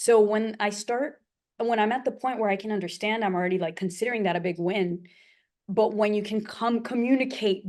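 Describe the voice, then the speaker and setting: A woman with an American accent speaks at a fairly quick pace against a quiet background. Her pitch sits in the medium range and rises and falls in an ordinary way. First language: Portuguese. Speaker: polyglot. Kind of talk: casual chat. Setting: video call.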